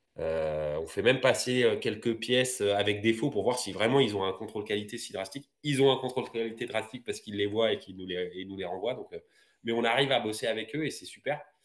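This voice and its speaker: An unremarkable speaking voice from a man at medium pitch, fairly quick pace, ordinary pitch variation and big swings in loudness, over a quiet background. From France, Paris region (Val-d'Oise). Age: 40s. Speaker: roller skater and entrepreneur. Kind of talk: interview.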